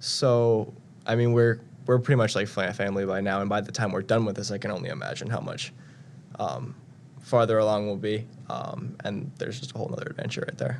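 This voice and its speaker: A man talks at a fairly quick pace in an ordinary speaking voice, his pitch fairly low with ordinary variation. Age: young. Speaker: national service member. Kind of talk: interview.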